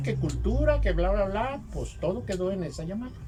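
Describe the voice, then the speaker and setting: A man talks at a moderate pace. Audible room echo and noticeable background noise are present. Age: 70s. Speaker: textile artisan. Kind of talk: interview storytelling.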